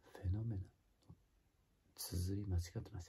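A man speaks slowly in a dark, mellow, somewhat breathy tone. His pitch varies in an ordinary way at a fairly slow pace. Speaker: singer. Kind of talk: casual talk to camera. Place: home room. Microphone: phone near.

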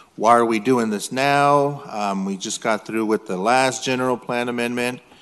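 Fairly quick and fairly even in intonation, a man speaks. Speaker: city council member. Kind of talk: formal statement at public meeting. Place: hall. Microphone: podium.

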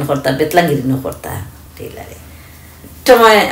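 A woman speaks at a very deep, low pitch. There is audible room echo and light background noise. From Bangladesh. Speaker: tailor. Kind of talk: interview answer. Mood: relaxed, content. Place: home room. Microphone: phone near.

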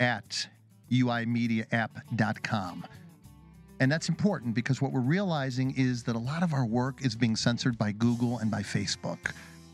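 A man's voice with ordinary pitch variation at a moderate pace, dry with no echo, over faint background music. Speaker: radio show host. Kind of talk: radio show intro. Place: studio. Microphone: studio mic.

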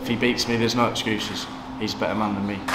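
Someone talks at a very fast pace over noticeable background noise. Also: man. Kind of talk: interview answer. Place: gym.

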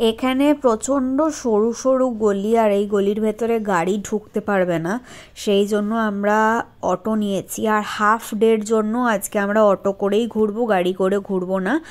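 A woman speaks with fairly even intonation and very even loudness. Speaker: travel vlogger. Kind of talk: casual vlog chat. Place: street. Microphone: phone near.

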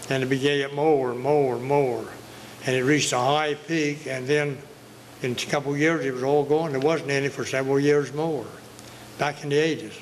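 Moderate pace and monotone, flat intonation in an Outer Banks accent, with light background noise. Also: man, fairly high pitch for a man. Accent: Outer Banks brogue. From Outer Banks, eastern North Carolina; North Carolina. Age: 80s+. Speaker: retired commercial fisherman; local storyteller. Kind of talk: storytelling interview. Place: hall. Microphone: handheld.

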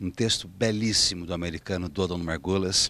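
A man with a very deep, low pitch speaks at a moderate pace with ordinary pitch variation, the sound dry with no echo. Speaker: stage actor promoting his play. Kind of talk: promotional interview to camera. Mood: warm, enthusiastic. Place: stage. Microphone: handheld.

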